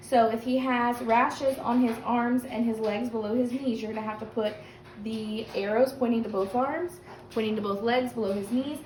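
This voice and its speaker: Her intonation fairly even, a woman speaks in a fairly high pitch with noticeable background noise around her. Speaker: teacher. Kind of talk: recorded lesson. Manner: fast.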